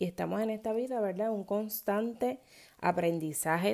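On a very clean recording with a silent background, a woman with a dark, mellow tone speaks at a fairly slow pace. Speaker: podcaster and moms' self-care coach. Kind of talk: casual monologue. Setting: home recording at 5 a.m. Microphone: no proper microphone or studio.

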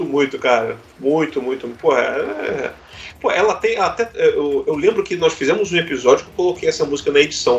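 The speech comes at a fairly quick pace. Noticeable background noise runs underneath. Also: man. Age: 40s. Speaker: podcast host. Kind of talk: casual chat.

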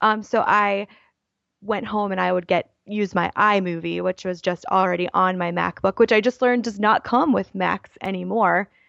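Speaking with an American accent, a woman uses an unremarkable speaking voice at medium pitch, fairly even intonation and a moderate pace, in a dry, close sound with no echo over a quiet background. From Baltimore, US. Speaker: YouTuber and writer. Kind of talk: casual interview.

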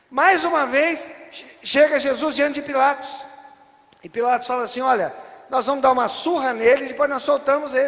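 With an animated tone and an extremely high pitch, a man speaks at a moderate pace over noticeable background noise. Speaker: preacher. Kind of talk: sermon. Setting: church. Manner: animated, rhetorical, asks the congregation questions; teaching, stops the reader to explain each passage.

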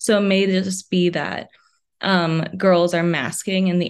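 An ordinary speaking voice from a woman, fairly low in pitch, with fairly even intonation and a moderate pace. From New York City and New Jersey. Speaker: psychology grad student. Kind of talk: podcast interview.

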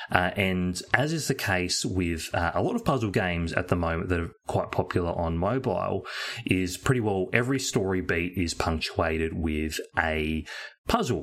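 Very deep and low, a man's voice carries an Australian accent. He keeps a moderate pace with ordinary pitch variation. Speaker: podcast co-host. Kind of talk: casual chat. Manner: hesitant, many fillers.

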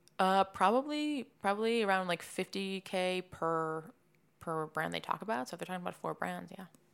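A woman with an American accent speaks at a moderate pace in a normal speaking voice, her medium pitch carried by lively intonation. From Massachusetts, near Boston. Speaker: marketing agency founder. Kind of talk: interview.

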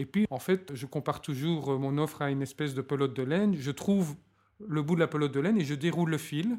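Fairly quick and fairly high-pitched, this man has an ordinary speaking voice with ordinary pitch variation. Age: 40s. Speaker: organizational change consultant. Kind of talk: interview. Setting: hotel recording session.

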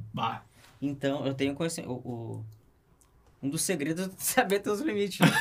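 Over noticeable background noise, a man with a fairly high pitch and lively intonation speaks at a moderate pace, leaving long, frequent pauses. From Canoas, Rio Grande do Sul, Brazil. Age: 30s. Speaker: rock climber. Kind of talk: casual chat. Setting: studio.

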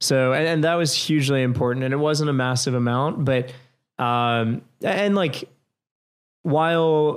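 Speaking with an American accent, a man with a plain, everyday voice and fairly high pitch talks at a moderate pace with ordinary pitch variation on a very clean recording with a silent background. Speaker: restaurant co-founder. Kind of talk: casual interview.

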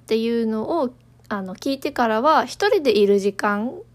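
A woman speaks in a high pitch with very wide pitch swings. The recording is very clean, with a silent background. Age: 20s. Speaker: podcast host, office worker. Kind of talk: casual solo talk. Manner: casual, conversational.

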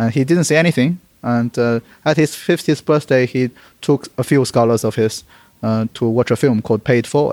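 Someone speaks with a Chinese accent at a fairly quick pace and with ordinary pitch variation. The recording is very clean, with a silent background and a dry, close sound with no echo. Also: man. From Beijing, China. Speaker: startup co-founder.

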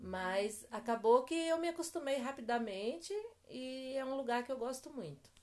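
Lively intonation and a moderate pace in a woman's high voice. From Bahia, Brazil, then São Paulo from age 16. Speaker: interviewee, classmate's mother. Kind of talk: interview.

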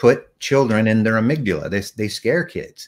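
A man's medium-pitched voice is captured on a very clean recording with a silent background. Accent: American. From Texas. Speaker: CEO and author. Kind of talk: interview. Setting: live stream.

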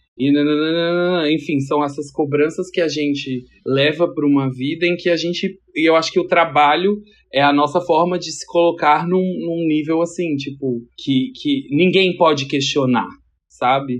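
A man with an ordinary speaking voice, fairly high in pitch, at a fairly slow pace with fairly even intonation. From Brasília. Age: 30s. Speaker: stylist. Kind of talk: casual chat.

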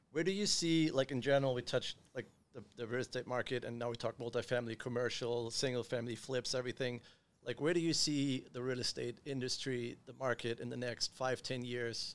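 This man has a normal speaking voice, medium in pitch, with fairly even intonation and a fairly quick pace. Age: 30s. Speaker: podcast host, real estate investor. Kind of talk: casual interview.

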